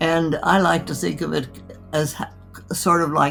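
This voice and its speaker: Music plays in the background as a woman speaks at a fairly slow pace. Her pitch is very deep and low. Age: 80s+. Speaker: physician. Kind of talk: interview answer.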